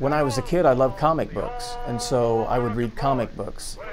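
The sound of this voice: A man's slightly mellow voice with lively intonation at a moderate pace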